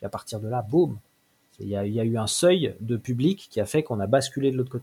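Talking at a very fast pace, a man has a medium pitch with ordinary pitch variation, a somewhat breathy quality, and a dark, mellow tone. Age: 40s. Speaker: manga author and small publisher. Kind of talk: interview. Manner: halting.

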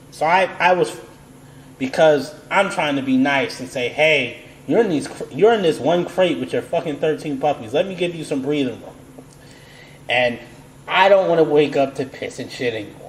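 Over noticeable background noise, a man with an American accent speaks at a moderate pace, with big swings in loudness and long, frequent pauses. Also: fairly high pitch for a man, ordinary pitch variation. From United States. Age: 30s. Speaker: podcast host. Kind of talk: casual chat.

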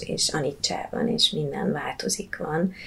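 At a fairly slow pace, a woman speaks in a fairly low voice against noticeable background noise. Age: 40s. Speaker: yoga teacher and Buddhist teacher. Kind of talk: casual interview.

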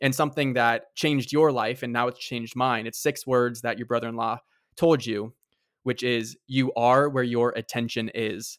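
Here a man talks at a medium pitch with fairly even intonation. The recording is very clean, with a silent background. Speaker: podcast host. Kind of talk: interview. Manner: fast.

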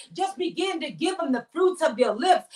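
A woman speaks in a raised, projected voice at an extremely high pitch with a bright, sharp tone. Her delivery is passionate, with ordinary pitch variation. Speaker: prophetess and inspirational show host. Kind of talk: devotional teaching and fervent prayer; fervent prayer of thanksgiving. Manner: fervent, repetitive praise with rising intensity; emphatic, passionate, declaring.

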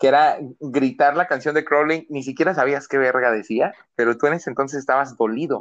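A man talks at a fairly brisk pace with fairly level intonation against a quiet background. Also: fairly high pitch for a man. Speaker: podcast co-host. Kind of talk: casual chat.

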